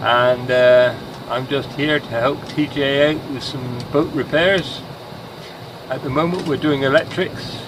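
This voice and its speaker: Through noticeable background noise, a man speaks at a moderate pace in a fairly high pitch. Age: 60s. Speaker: master mariner. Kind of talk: casual explanation to camera.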